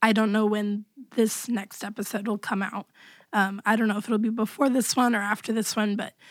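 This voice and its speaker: Against a silent background in a very clean recording, a woman speaks at a fairly high pitch. Her intonation is monotone and flat. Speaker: podcast host. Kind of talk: casual chat.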